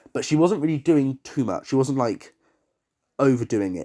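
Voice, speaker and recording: Speaking with an English accent, a man uses a dark, mellow tone at a moderate pace in a very clean recording with a silent background. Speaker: TV show reviewer. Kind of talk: casual review monologue. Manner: animated.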